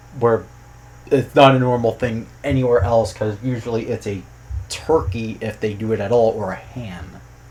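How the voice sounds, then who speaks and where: A medium-pitched, somewhat breathy male voice. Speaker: youtuber and programmer commenting on game localization. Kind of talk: casual commentary vlog.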